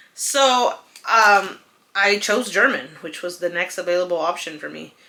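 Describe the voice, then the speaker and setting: This woman has a Spanish accent and a medium pitch. She speaks at a fairly slow pace. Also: ordinary pitch variation, big swings in loudness. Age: 30s. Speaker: lifestyle vlogger. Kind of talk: casual chat. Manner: chatty, with many fillers.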